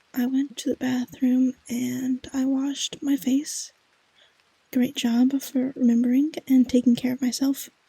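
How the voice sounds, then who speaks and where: The voice is soft-spoken with a gentle tone. It moves at a fairly slow pace. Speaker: ASMR vtuber. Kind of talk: ASMR comfort affirmations read from a script. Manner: soft-spoken, gentle.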